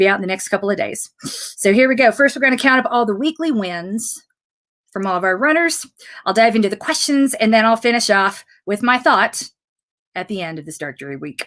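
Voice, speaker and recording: Her pitch fairly high and swinging very widely, a woman speaks at a fairly quick pace with big swings in loudness. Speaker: running coach and fitness program founder. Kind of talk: live Q and A broadcast. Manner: fast.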